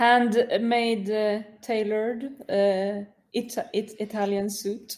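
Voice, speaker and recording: This woman talks at a very slow pace in a Swedish accent. Her intonation stays monotone and flat. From Sweden. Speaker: football commentator. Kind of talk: casual chat. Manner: halting.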